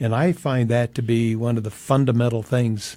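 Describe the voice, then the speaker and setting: A man's dark, mellow, somewhat breathy voice at a medium pitch, on a very clean recording with a silent background. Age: 80s+. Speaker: folklorist and author. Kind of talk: interview.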